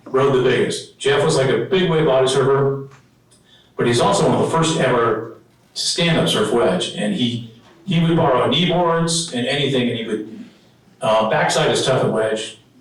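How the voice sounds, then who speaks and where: A man's fairly high voice with an American accent at a moderate pace, ordinary pitch variation, audible room echo and noticeable background noise. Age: 60s. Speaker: local surfing historian. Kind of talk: presentation with slides. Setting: dinner event with audience. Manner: casual, halting with fillers.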